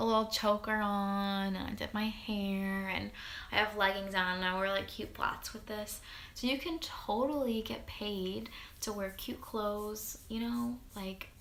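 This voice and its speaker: A woman talks with ordinary pitch variation, her voice carrying audible room echo amid noticeable background noise. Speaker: network marketing distributor. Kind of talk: tutorial. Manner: fast; animated.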